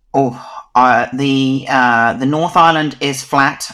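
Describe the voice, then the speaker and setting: A man speaks at a very slow pace with fairly even intonation. His tone is bright and sharp. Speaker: dog photographer. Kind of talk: interview.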